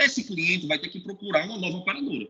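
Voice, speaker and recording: A man's high, raised, projected voice with very wide pitch swings. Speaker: sales manager in health insurance. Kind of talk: webinar talk. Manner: repetitive stammering on words.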